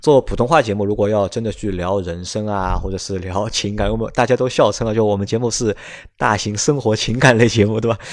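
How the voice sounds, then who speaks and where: A man speaks at a very fast pace with a fairly low pitch and fairly even intonation. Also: very clean recording, silent background. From Shanghai, China. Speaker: podcast host. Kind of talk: casual chat.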